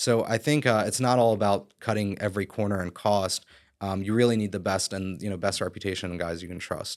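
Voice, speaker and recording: An ordinary speaking voice from a man with an American accent, fairly quick in pace and fairly even in intonation, on a very clean recording with a silent background. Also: fairly low pitch for a man. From Philadelphia area, Pennsylvania. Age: 30s. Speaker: real estate broker and developer. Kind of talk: podcast interview.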